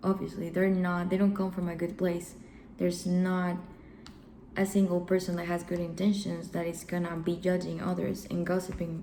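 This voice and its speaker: A woman with a non-native accent talks at a moderate pace in a fairly low pitch, with monotone, flat intonation. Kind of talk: self-help talk to camera.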